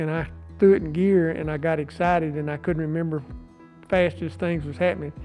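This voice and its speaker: With music playing behind him, a man with an East Texas accent speaks at a moderate pace in a high pitch, his intonation fairly even. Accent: East Texas Southern American. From Marshall, Texas. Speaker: business owner. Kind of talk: interview answer.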